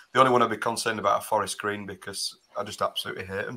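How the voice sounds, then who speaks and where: A man speaks at a very fast pace. His medium-pitched voice is bright and sharp in tone. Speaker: podcast host. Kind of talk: live fan panel discussion. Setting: video call.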